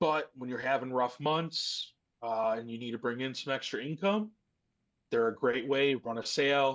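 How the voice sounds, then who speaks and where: Against a quiet background, a man with a normal speaking voice talks at a moderate pace and medium pitch, with ordinary pitch variation. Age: 30s. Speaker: mobile DJ and photo booth business owner. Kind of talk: podcast discussion.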